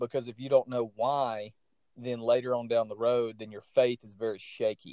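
With a Southern US accent, the speaker keeps a monotone, flat intonation and a moderate pace, a dark, mellow tone and big swings in loudness, the sound dry and close with no echo. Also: man, medium pitch for a man. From US South. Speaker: podcast host. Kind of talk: casual chat.

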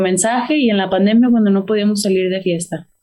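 A woman with a dark, mellow tone speaks at a very fast pace. Her pitch variation is ordinary. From Texas, McAllen (Rio Grande Valley). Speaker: singer. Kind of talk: interview.

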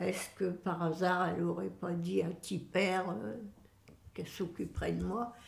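A woman with a fairly low pitch and vocal fry speaks at a fairly slow pace. Her pitch varies in an ordinary way, and room echo is audible. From northern France, Boulogne-sur-Mer. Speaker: great-grandmother interviewee. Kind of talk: casual family interview.

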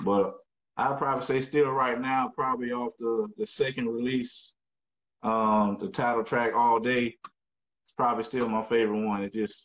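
A plain, everyday voice with an American accent, at a moderate pace. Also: man. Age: 40s. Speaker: music producer. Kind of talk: casual interview.

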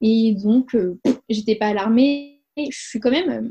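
A woman speaks very slowly at a fairly high pitch in a dark, mellow, somewhat breathy tone. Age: 20s. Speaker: mother telling her home birth story. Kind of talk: testimony. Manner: hesitant, many fillers and repetitions.

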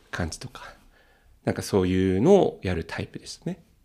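A very deep, low male voice on a very clean recording with a silent background. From Tokyo. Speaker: podcaster. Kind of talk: casual chat.

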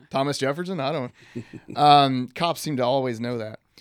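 Speaking in a Texan accent, a man talks at a moderate pace with a medium pitch and ordinary pitch variation. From East Texas. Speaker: doctor and health company executive. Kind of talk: casual interview on health. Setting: studio.

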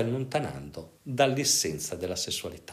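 Vocal fry marks this man's medium-pitched voice. His pitch swings very widely. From northern Italy, Pavia. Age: 50s. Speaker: psychiatrist and sexologist. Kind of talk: interview.

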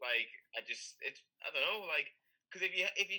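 Talking very fast, a man speaks with a British accent. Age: 30s. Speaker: powerlifter. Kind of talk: casual chat.

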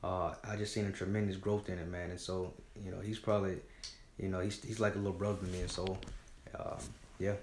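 Somewhat breathy and fairly low, a man's voice in an American accent moves at a fairly quick pace with monotone, flat intonation and long, frequent pauses, with audible room echo. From Georgia, US South (Griffin). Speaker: nonprofit founder. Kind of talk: interview.

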